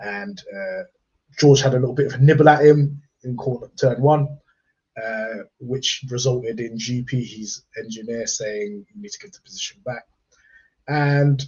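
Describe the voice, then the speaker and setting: Somewhat breathy, the man speaks at a medium pitch and a moderate pace. His pitch moves with ordinary variation. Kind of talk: casual chat. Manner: halting.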